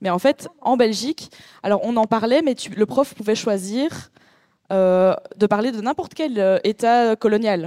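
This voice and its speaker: Very slowly, a woman with a fairly high pitch and a dark, mellow tone speaks with ordinary pitch variation in a dry, close sound with no echo. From Belgium. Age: 30s. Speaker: artist. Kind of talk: panel discussion. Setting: venue with live audience.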